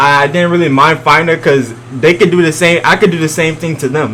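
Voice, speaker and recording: A man at a fairly high pitch and very fast pace, with noticeable background noise. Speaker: gaming YouTuber. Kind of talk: reaction video commentary. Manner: loud; casual, hesitant.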